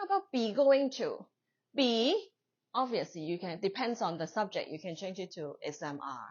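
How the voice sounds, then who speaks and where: Speaking with a Chinese accent, a woman with a fairly high pitch talks at a moderate pace, her pitch swinging very widely. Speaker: English teacher. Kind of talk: lecture. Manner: conversational.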